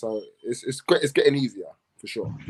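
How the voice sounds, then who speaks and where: A man with a London accent, medium pitch and a moderate pace. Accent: London English, multicultural London. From London, England. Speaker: professional basketball player. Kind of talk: panel chat.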